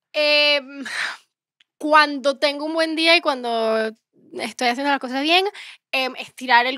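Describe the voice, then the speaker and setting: A woman's high, raised, projected voice with a bright, sharp tone shows ordinary pitch variation against a quiet background. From Venezuela, raised in Miami; Venezuela. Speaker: singer-songwriter; guest. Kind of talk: casual interview chat. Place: studio. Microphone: handheld.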